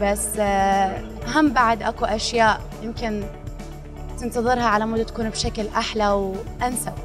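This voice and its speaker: A woman's flat, monotone delivery over clear background music. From Iraq. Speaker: actress. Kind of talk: interview answer. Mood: friendly, upbeat. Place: hall. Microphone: handheld.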